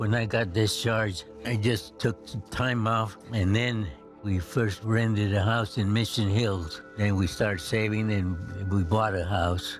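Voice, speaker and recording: With music in the background, a man speaks at a fairly slow pace in a fairly low voice. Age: 80s+. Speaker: war veteran. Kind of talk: testimony. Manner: halting.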